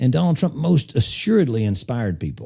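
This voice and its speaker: A man talks in an Appalachian accent with a dark, mellow tone. His intonation is lively. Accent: Southern US (Appalachian). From US South, eastern Tennessee. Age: 40s. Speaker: political strategist. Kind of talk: podcast interview. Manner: conversational, casual.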